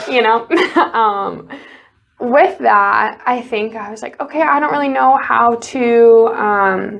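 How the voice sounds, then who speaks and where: Very slowly, a woman with a Chicago accent speaks at a fairly high pitch, her voice making very wide pitch swings. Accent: Chicago-area American. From US Midwest, Chicago suburbs. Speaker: college basketball player. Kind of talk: casual interview. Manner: loud and excitable.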